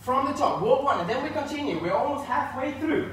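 An extremely high-pitched man speaks amid strong room echo. Light background noise can be heard. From northern Sweden. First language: Swedish. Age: 30s. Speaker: line dance instructor. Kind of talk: live-streamed dance class, instructing step by step with counts. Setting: live stream from home. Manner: upbeat, encouraging; rhythmic, brisk count-offs. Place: empty room.

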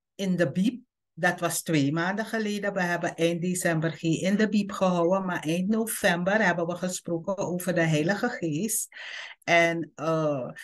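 The background stays quiet. Pitch moves up and down in an ordinary way. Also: woman, fairly low pitch for a woman, fairly slow pace. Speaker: presenter. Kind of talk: online bible study talk. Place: home room. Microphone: video call.

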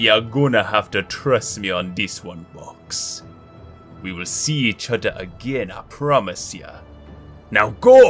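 A man uses a put-on character voice at a fairly low pitch and a fairly slow pace. Clear music plays in the background. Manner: gruff, defiant, loyal.

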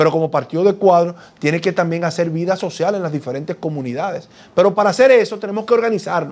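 Here a man speaks at a high pitch with ordinary pitch variation. His pace is fairly quick. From Dominican Republic. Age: 40s. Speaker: politician; politician interviewee. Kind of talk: TV interview. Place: studio. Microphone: lapel.

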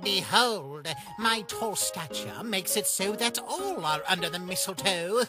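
With clear music in the background, a man uses a put-on character voice at a high pitch and moderate pace. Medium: dub. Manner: upbeat, theatrical.

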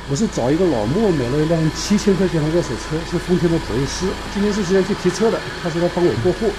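Very fast speech from a man with a high pitch and ordinary pitch variation. Noticeable background noise runs underneath. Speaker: travel vlogger. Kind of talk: casual vlog narration. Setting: outdoors and in a car. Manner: casual, chatty. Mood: frustrated but animated.

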